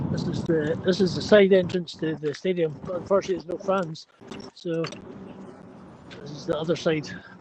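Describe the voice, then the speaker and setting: A man with a Scottish accent, high in pitch and fairly quick, with fairly even intonation, big swings in loudness, long, frequent pauses and noticeable background noise. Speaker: livestream participant. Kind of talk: casual chat. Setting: outdoors.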